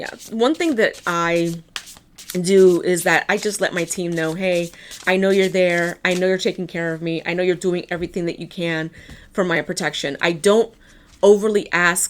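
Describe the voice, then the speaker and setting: Speaking in a New York accent, a woman keeps a moderate pace and a fairly low, monotone, flat delivery. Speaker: tarot card reader. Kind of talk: tarot reading. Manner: casual.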